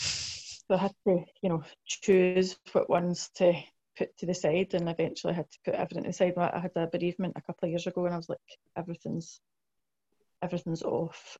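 Speaking at a fairly quick pace in a west of Scotland accent, a woman keeps a monotone, flat intonation, her fairly low voice somewhat breathy with a dark, mellow tone. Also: dry, close sound with no echo. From Scotland, South Lanarkshire (Blantyre). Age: 40s. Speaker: mental health nurse. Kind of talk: oral history interview. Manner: hesitant, many fillers.

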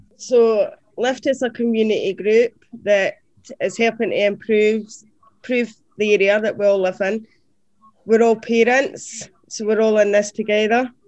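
A woman with a southern Scottish accent speaks at a fairly high pitch and a moderate pace. Her intonation is monotone and flat, broken by long, frequent pauses. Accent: southern Scottish (Dumfries). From Scotland, Dumfries. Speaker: community organisation finance director. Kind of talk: casual interview.

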